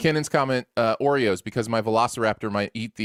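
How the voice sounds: Reading in a natural voice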